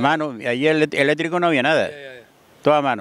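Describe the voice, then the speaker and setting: A man with a fairly high voice. The sound is dry, with no echo. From Fuerteventura, Canary Islands; Canary Islands, Spain. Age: 70s. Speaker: local elder, villager; interviewee. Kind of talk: casual interview. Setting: outdoors by the sea. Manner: halting. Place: open country. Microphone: handheld.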